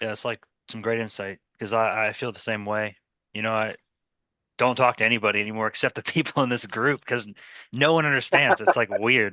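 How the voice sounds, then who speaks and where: A man with a normal speaking voice keeps to a medium pitch. His pace is fairly quick, and his pitch varies in an ordinary way. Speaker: trading group organizer. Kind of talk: casual group video call. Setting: video call.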